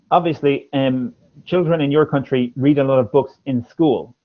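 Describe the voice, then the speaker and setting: Fairly slow speech in an Irish accent with ordinary pitch variation. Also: man. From Ireland. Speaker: English teacher and former language examiner. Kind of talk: speaking test feedback in a livestream. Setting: livestream.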